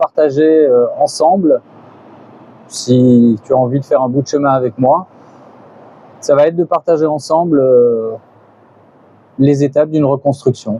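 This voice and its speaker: A man's fairly high voice at a fairly slow pace, dry and close with no echo, over noticeable background noise. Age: 50s. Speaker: beginner YouTuber, vlogger. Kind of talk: personal vlog monologue. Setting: outdoors on a balcony. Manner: halting, many hesitations.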